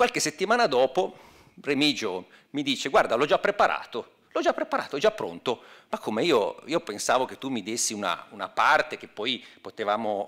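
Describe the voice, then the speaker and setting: Over a quiet background, a man with a bright, sharp tone and vocal fry speaks at a moderate pace, his pitch swinging very widely. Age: 50s. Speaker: academic, former historian; speaker. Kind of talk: speech. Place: hall. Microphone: podium.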